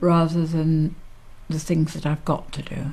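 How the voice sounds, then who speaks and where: This voice belongs to a woman. It sounds somewhat breathy. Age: 60s. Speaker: social care service user with MS. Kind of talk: interview testimony.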